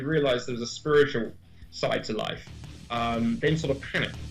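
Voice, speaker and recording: Over music in the background and audible room echo, a man talks at a very fast pace. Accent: British. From Britain. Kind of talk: radio talk show interview.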